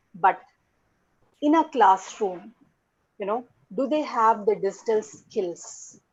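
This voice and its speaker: A woman with an Indian accent speaks at a very slow pace in a fairly high pitch. Her intonation is lively, broken by long, frequent pauses. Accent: Indian English (Telugu). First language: Telugu. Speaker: English language teaching academic. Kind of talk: conference talk.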